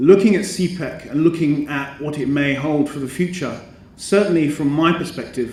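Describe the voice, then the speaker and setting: A man's fairly even intonation with audible room echo. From Britain. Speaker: educator and business school representative. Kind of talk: conference speech. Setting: conference stage with audience. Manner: formal, hesitant with many ums.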